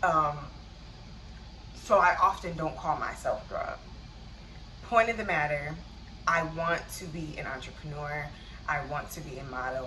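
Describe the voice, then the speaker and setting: A woman's voice with big swings in loudness and long, frequent pauses, amid noticeable background noise and audible room echo. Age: 30s. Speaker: vlogger. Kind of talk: personal vlog monologue. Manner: slow; halting.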